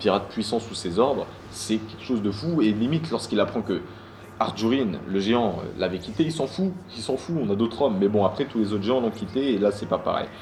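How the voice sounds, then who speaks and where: At a fairly quick pace, a man speaks in a fairly low pitch with ordinary pitch variation. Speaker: manga review youtuber. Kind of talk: casual solo video review. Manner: fast; hesitant, many fillers and repeats.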